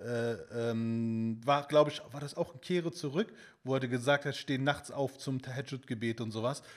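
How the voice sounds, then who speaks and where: At a moderate pace, a man talks in an unremarkable speaking voice, his pitch varying in an ordinary way. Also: medium pitch for a man. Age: 30s. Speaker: fitness content creator. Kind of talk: casual chat.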